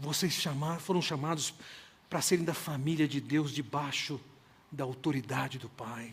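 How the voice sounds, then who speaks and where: Fairly high in pitch, a man's voice comes across somewhat breathy. He keeps a moderate pace and fairly even intonation. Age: 60s. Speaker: pastor. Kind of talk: sermon.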